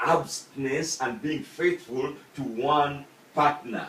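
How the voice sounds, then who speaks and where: Against noticeable background noise, a man with a Ugandan accent speaks at a fairly high pitch. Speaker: student. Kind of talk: persuasive speech. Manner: halting.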